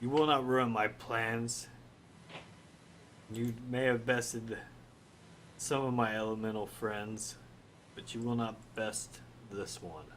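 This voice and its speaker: A man does a booming put-on character voice at a medium pitch, slow-ish with fairly even intonation and long, frequent pauses. Clear background noise sits behind him. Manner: menacing, declaring.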